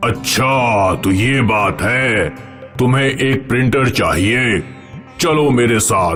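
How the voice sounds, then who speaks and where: A man's cartoonish character voice at medium pitch, delivered at a very slow pace over clear music in the background. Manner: calm, paternal.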